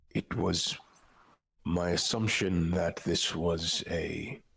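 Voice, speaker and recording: In a put-on character voice, the raspy speech creeps along at a very slow pace with fairly even intonation. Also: man, very deep, low pitch for a man. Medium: actual play. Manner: polite, hesitant, deferential.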